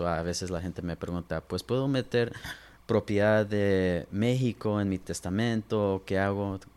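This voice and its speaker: In a very clean recording with a silent background, a man with a normal speaking voice talks fairly slowly, his pitch fairly low and his intonation fairly even. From Los Angeles and Inland Empire, California. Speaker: lawyer. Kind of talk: interview.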